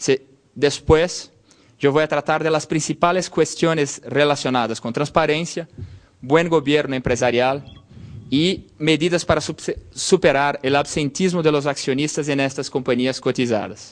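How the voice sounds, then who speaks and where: A man with a Portuguese accent speaks fairly slowly in a fairly high voice, keeping his intonation fairly even. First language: Portuguese (speaking Spanish). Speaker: law lecturer. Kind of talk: lecture. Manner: halting.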